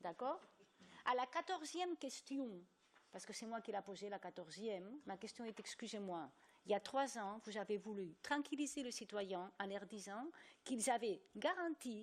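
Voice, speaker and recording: Speaking with a non-native accent, a woman moves at a fairly slow pace through very wide pitch swings. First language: not French (speaking French). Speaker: journalist, EU correspondent. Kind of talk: panel debate. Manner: animated.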